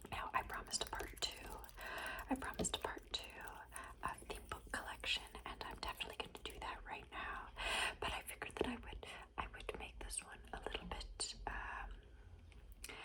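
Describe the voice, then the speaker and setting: Someone whispers with long, frequent pauses against noticeable background noise. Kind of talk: ASMR whispered book recommendations. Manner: whispered, slow, repetitive.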